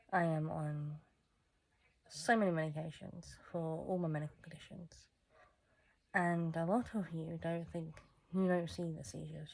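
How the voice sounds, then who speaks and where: Intonation holds fairly even. There is a somewhat breathy quality. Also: woman. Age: 20s. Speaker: vlogger. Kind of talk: personal vlog monologue. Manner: halting, self-correcting.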